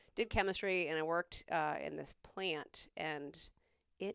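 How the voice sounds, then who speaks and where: A woman with a very deep, low pitch and vocal fry speaks with ordinary pitch variation in a very clean recording with a silent background. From South Carolina. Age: 40s. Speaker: nurse. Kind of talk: casual chat.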